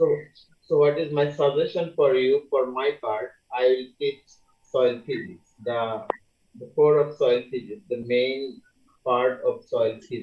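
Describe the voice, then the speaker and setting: A man with a Bangladeshi accent at a fairly slow pace, with fairly even intonation and long, frequent pauses. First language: Bengali. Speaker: university lecturer. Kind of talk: lecture.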